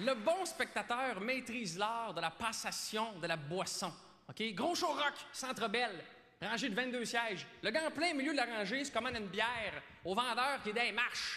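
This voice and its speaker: Over noticeable background noise, a man uses a raised, projected voice at an extremely high pitch with lively intonation. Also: fairly slow pace. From Quebec. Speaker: comedian. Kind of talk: stand-up monologue as awards show host. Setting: live stage, audience.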